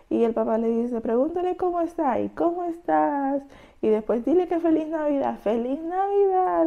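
A woman's dark, mellow tone at a fairly slow pace over a quiet background. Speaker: vlogger. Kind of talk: casual vlog chat. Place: kitchen. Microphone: lapel.

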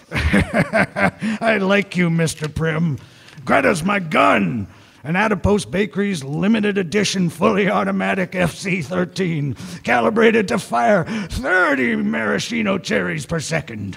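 A man talks at a fairly slow pace in a high pitch. His voice makes very wide pitch swings. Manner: gruff, macho, mocking.

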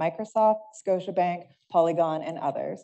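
A woman with an unremarkable speaking voice talks at a fairly low pitch, with ordinary pitch variation over a quiet background. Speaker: panel moderator. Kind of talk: panel moderation. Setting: stage with audience. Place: hall. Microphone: podium.

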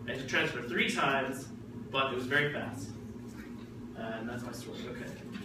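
Man with an American accent, long and frequent pauses, audible room echo and noticeable background noise. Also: moderate pace. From New Jersey, Jersey City. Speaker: ESL grammar teacher. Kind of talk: classroom teaching. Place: classroom. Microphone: camera far.

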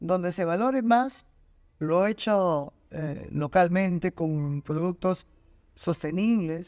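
Speaking very slowly with a Peruvian accent, a man with a high-pitched voice comes through on a very clean recording with a silent background. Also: ordinary pitch variation. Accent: Peruvian Spanish (Lima). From Peru, Lima. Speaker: designer and university lecturer. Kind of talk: interview.

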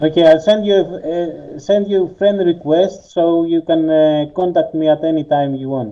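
Fairly even intonation in a Greek accent, with hardly any pauses and a quiet background. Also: man, high pitch for a man, moderate pace. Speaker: gamer. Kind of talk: casual gameplay chat. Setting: online voice chat. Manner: halting. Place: home room.

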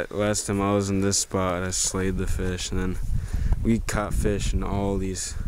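A man at a fairly slow pace, dry with no echo, under noticeable background noise. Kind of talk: casual vlog chat. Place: open country. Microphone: phone near.

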